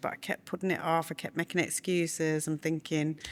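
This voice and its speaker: A woman with a northern English accent, fairly low in pitch and fairly quick, on a very clean recording with a silent background. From northern England, Burnley. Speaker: bid writer and business owner. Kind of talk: casual chat.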